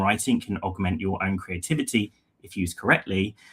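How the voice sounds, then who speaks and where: The speaker is a man. He has a British accent. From London, England. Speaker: head of content, writer. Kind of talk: webinar presentation.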